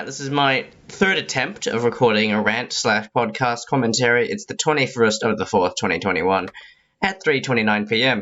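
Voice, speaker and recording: Lively intonation runs through a man's medium-pitched voice. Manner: fast, excited.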